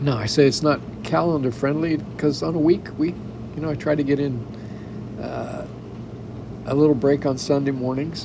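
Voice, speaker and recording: Noticeable background noise sits behind a man with a fairly high pitch, ordinary pitch variation, a moderate pace and long, frequent pauses. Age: 70s. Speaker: podcaster and spousal caregiver. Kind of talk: personal monologue. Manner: halting.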